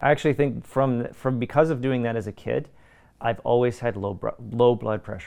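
In a normal speaking voice, a man with a Canadian accent talks at a fairly quick pace, medium in pitch with ordinary pitch variation. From Canada. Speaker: voice actor and martial artist. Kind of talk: casual interview.

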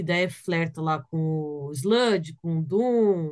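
An ordinary speaking voice from a woman, fairly slow in pace, with ordinary pitch variation. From Brazil, São Paulo. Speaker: metal guitarist and vocalist. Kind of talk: casual chat.

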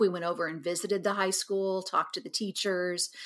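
A woman speaks with a Midwestern American accent on a very clean recording with a silent background. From Kansas. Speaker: high school yearbook advisor. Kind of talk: interview conversation.

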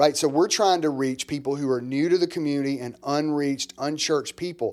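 A man has a normal speaking voice at a fairly high pitch with ordinary pitch variation. The recording is very clean, with a silent background. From US South, small-town Mississippi. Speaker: pastor, church planter. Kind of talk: casual chat.

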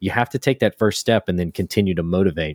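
A man speaks at a very fast pace with a Southern US accent. The sound is dry and close with no echo, on a very clean recording with a silent background. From US South, South Louisiana. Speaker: hobby maker, podcast co-host. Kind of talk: casual chat.

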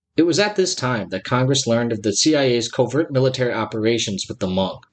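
A man with an ordinary speaking voice, medium pitch, lively intonation and a fairly quick pace. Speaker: podcast host. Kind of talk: history documentary narration. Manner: formal, measured, even-toned.

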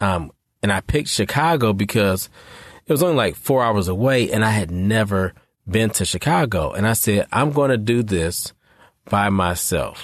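Heard on a very clean recording with a silent background, a man has an ordinary speaking voice with an American accent. He talks at a moderate pace with very even loudness and lively intonation. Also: fairly low pitch for a man. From US Midwest, Detroit. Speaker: therapist and life coach podcast host. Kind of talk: solo podcast talk. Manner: casual, conversational.

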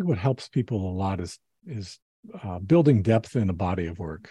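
With an American accent and lively intonation, this somewhat breathy voice has a dark, mellow tone at a moderate pace, in a dry, close sound with no echo against a quiet background. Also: man. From California. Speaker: landscape photographer. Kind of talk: interview.

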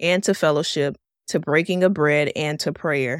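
A woman with an American accent and an ordinary speaking voice talks at a moderate pace with ordinary pitch variation, on a very clean recording with a silent background and a dry, close sound with no echo. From Miami, Florida. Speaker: podcast host. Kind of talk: casual teaching talk.

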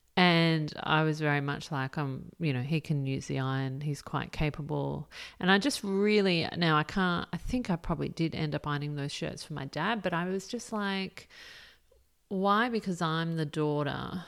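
A woman at a moderate pace with a very deep, low pitch and ordinary pitch variation, in a very clean recording with a silent background. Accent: Australian. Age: 40s. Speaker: podcast host, career coach. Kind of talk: solo podcast monologue. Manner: casual, halting with fillers.

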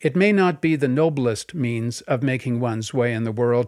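A man with an unremarkable speaking voice talks at a moderate pace with lively intonation, on a very clean recording with a silent background. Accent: Canadian. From Canada (BC West Coast, then Montreal West Island). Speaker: podcast host and memoirist. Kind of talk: memoir reading aloud.

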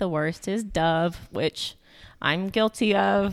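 An ordinary speaking voice from a woman at a fairly slow pace with lively intonation, in a very clean recording with a silent background and a dry, close sound with no echo. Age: 30s. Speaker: nurse practitioner and spray tanning business co-owner. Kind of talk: casual interview.

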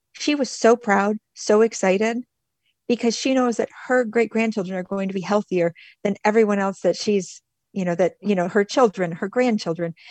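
A woman has an unremarkable speaking voice with an American accent, medium pitch, ordinary pitch variation and a moderate pace, sounding dry and close with no echo against a quiet background. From Michigan, US. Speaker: nonprofit director. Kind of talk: interview.

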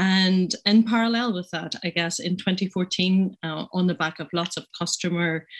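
Over a quiet background, a woman speaks in a Northern Irish accent. Her pitch is medium, with ordinary pitch variation and a moderate pace. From Northern Ireland. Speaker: pharmacist and business owner. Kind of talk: panel discussion. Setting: remote video link.

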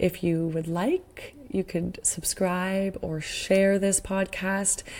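Heard in a very clean recording with a silent background, the voice has a dark, mellow tone, a Canadian accent and monotone, flat intonation. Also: woman. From Northern Ontario, Canada (Sudbury). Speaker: podcast host and actor. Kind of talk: casual monologue. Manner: halting with fillers.

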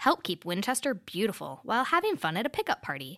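This woman speaks at a fairly high pitch and a fairly quick pace, her bright, sharp voice carrying vocal fry and very wide pitch swings, in a dry, close, echo-free recording that is very clean with a silent background. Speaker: public information officer, co-host. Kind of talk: casual chat. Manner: puts on polished radio voice for segments.

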